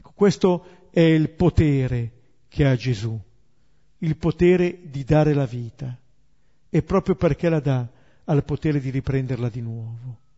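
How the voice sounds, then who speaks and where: Somewhat breathy, a man speaks at a fairly slow pace with long, frequent pauses, ordinary pitch variation and big swings in loudness. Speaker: Bible teacher. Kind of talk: lecture.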